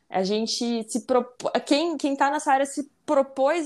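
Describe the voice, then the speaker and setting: Recorded very cleanly against a silent background, a woman speaks at a fairly slow pace with lively intonation. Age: 20s. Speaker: engineering student. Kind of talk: casual chat.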